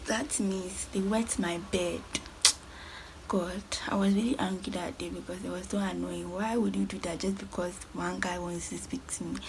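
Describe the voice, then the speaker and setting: A woman's voice carries audible room echo, with noticeable background noise behind it. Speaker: lifestyle vlogger. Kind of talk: storytime vlog. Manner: fast.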